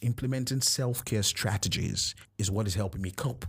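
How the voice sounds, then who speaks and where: A man speaks in a fairly low voice with ordinary pitch variation and a somewhat breathy quality. The recording is very clean, with a silent background. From Nigeria. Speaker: podcast host. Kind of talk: personal monologue.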